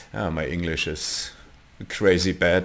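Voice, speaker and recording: A man speaks at a very slow pace. His accent is German. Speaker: 3D software tutorial creator. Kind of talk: tutorial. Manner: halting, many fillers.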